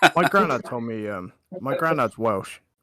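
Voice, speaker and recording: The pitch of this man's voice is medium. He talks at a moderate pace. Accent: West Country. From southern England, Wiltshire. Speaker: gaming livestream co-host. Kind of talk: casual chat.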